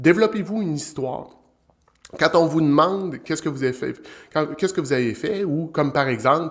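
Speaking in a Quebec accent, a man goes at a fairly quick pace with ordinary pitch variation. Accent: Québécois French. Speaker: business development strategist, show host. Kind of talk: live-streamed solo talk on sales. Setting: live stream on social platforms.

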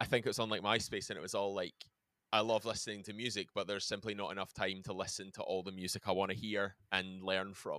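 In a Glaswegian accent, a man talks at a very fast pace with a fairly low pitch, a bright, sharp tone and monotone, flat intonation. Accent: Glaswegian Scottish. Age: 30s. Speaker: metal band musician. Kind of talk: casual interview.

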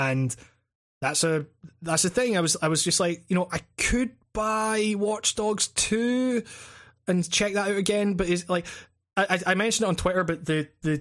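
On a very clean recording with a silent background, a man with a Scottish accent talks at a moderate pace with ordinary pitch variation. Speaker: games critic and YouTube podcast host. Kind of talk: casual chat. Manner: halting, many false starts.

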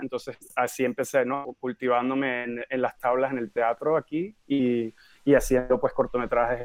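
A man with a normal speaking voice at medium pitch, a moderate pace and fairly even intonation. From Venezuela, Caracas. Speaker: film director. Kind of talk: interview.

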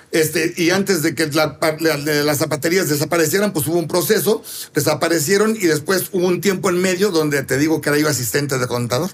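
The man's voice is high-pitched. Its pitch variation is ordinary. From Mexico City. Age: 60s. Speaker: pastry chef and bakery owner. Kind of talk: interview.

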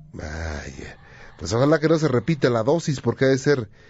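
The man's voice sits at a medium pitch and moves at a fairly slow pace. There is noticeable background noise. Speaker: radio host. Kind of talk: late-night call-in radio show.

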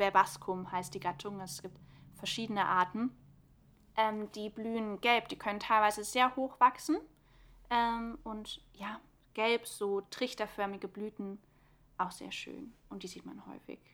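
On a very clean recording with a silent background, a woman speaks at a fairly high pitch in a bright, sharp tone with ordinary pitch variation. Her loudness swings widely, and she takes long, frequent pauses. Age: 20s. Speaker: environmental science student and podcast co-host. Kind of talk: casual educational chat.

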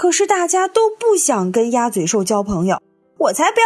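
What you hear is plain reading aloud.

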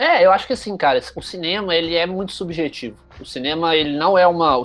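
Over music in the background, a man speaks in a high pitch. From Brazil, Juiz de Fora (Minas Gerais). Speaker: journalist and content creator. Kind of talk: casual interview storytelling.

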